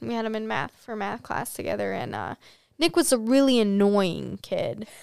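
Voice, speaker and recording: A woman's unremarkable speaking voice at a fairly high pitch and moderate pace with an American accent, on a very clean recording with a silent background. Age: 20s. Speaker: college student. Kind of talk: casual chat. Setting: studio.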